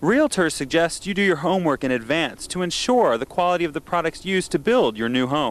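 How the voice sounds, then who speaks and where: A man talks at a fairly quick pace in an unremarkable speaking voice. His fairly high pitch moves with lively intonation. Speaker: TV news reporter. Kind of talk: TV news report.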